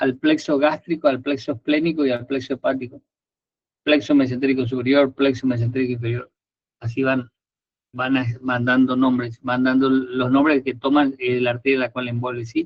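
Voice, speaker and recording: The man speaks at a medium pitch. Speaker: anatomy tutor. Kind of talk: lecture. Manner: fast.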